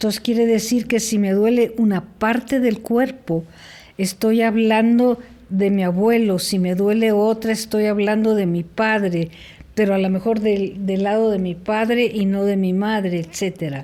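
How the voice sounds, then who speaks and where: On a very clean recording with a silent background, a woman with a dark, mellow tone speaks fairly slowly with fairly even intonation. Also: fairly high pitch for a woman. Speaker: family constellations guest. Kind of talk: interview answer.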